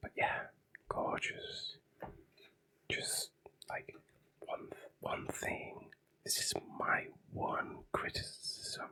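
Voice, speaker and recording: Someone whispers at a very slow pace, leaving long, frequent pauses. Noticeable background noise is present. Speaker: ASMR creator. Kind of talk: whispered ASMR commentary on comics. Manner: whispering; hesitant, repeats words.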